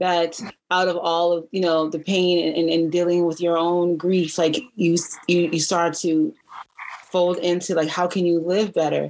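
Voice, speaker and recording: Flat, monotone intonation at a fairly slow pace, with very even loudness throughout. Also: woman, fairly low pitch for a woman. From US East Coast, DC area. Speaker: podcast host. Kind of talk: casual chat.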